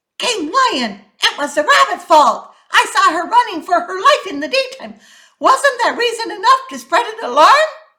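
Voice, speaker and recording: A squeaky, put-on character voice speaks at a moderate pace. Its pitch swings very widely. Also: woman, extremely high pitch for a woman. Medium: read story.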